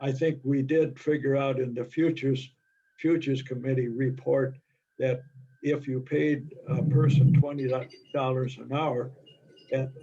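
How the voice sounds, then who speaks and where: A man's dark, mellow, somewhat breathy voice at medium pitch, fairly slow and monotone with flat intonation. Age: 90s. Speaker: society officer at members meeting. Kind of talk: business meeting discussion.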